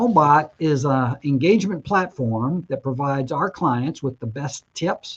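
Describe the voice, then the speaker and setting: At a moderate pace, a man with a fairly high pitch speaks in a somewhat breathy voice with lively intonation. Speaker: mortgage broker and show host. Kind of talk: webinar presentation.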